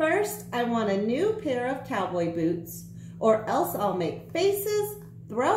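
Reading aloud in a natural voice.

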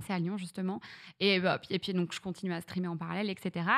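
Against a quiet background, a woman speaks. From northern France (Reims, Champagne); northern France. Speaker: streamer; podcast guest, streamer. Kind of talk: casual interview chat. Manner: hesitant, many fillers. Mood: relaxed, storytelling. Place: studio. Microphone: studio mic.

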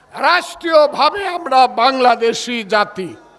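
A man raises and projects his voice, with lively intonation. Noticeable background noise runs behind him. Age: 70s. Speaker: politician. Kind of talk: political rally speech. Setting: outdoor night rally with crowd. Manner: loud; animated.

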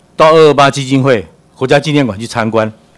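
A man's fairly high-pitched, ordinary speaking voice at a moderate pace. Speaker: cultural association executive director. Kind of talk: presentation with slides.

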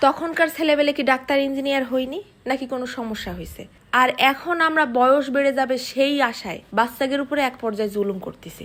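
A woman with a high-pitched voice shows ordinary pitch variation and big swings in loudness. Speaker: parenting vlogger, mother. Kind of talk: personal advice monologue.

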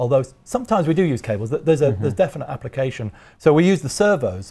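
This man's voice is dark and mellow in tone. It is somewhat breathy. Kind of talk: interview answer. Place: workshop. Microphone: lapel.

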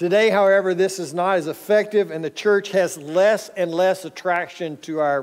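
A man's high-pitched voice with an American accent, ordinary pitch variation, a moderate pace and hardly any pauses, over a quiet background. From North Texas. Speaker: pastor. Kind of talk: sermon. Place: church. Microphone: headset.

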